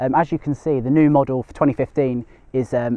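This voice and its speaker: A man talks with fairly even intonation. The sound is dry with no echo, and the background is quiet. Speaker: magazine equipment reviewer. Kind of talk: product review to camera. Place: open country. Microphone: lapel.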